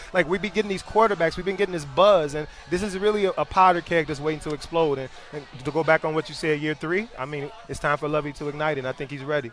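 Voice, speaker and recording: A fairly high-pitched man speaking at a very fast pace with ordinary pitch variation, over noticeable background noise. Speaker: former football player, sideline reporter. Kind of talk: casual chat. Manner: animated.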